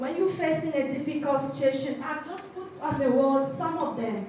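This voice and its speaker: A woman talks at a moderate pace in a high pitch with ordinary pitch variation. Noticeable background noise is present. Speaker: leads a group affirmation exercise.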